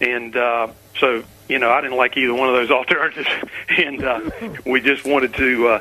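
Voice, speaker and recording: Against noticeable background noise, a man at medium pitch speaks at a fairly quick pace in a flat monotone, broken by long, frequent pauses. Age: 60s. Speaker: caller. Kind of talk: radio call-in. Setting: phone call. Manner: hesitant, many fillers.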